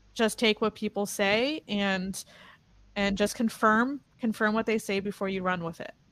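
In an American accent, a woman talks with fairly even intonation in an ordinary speaking voice, on a very clean recording with a silent background. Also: medium pitch for a woman, moderate pace. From New Jersey. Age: 40s. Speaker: podcast host, nutrition coach. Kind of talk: casual interview.

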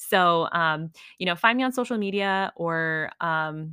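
A woman with a fairly low pitch speaks in an animated, bright and sharp tone, recorded very cleanly with a silent background and a dry, close sound with no echo. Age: 30s. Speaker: podcast host and physical therapy student. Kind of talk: casual solo update.

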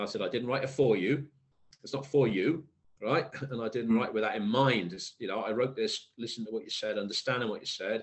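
The pace is very fast, with ordinary pitch variation. There is a slight Welsh accent. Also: man, medium pitch for a man. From South Wales. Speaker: poet. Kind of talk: interview chat.

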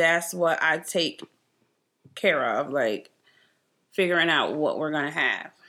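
A woman talks at a very slow pace in a fairly low pitch, with vocal fry and ordinary pitch variation. The recording is very clean, with a silent background. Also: long, frequent pauses. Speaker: host's mother. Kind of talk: casual chat.

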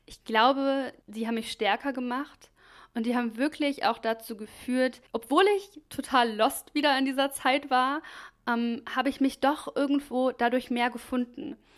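Speaking at a fairly slow pace, a woman has a high pitch with ordinary pitch variation. The recording is very clean, with a silent background. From Germany, Krefeld (Lower Rhine). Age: 30s. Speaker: podcast host, mental health and wellbeing. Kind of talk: personal monologue, life story.

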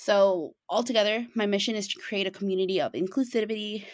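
With a Chicago accent, a woman speaks at a fairly quick pace in a medium pitch, her intonation lively. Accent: Chicago-area American. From Chicago western suburbs, US. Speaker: small business founder and event organizer. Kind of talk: interview. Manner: halting, many fillers.

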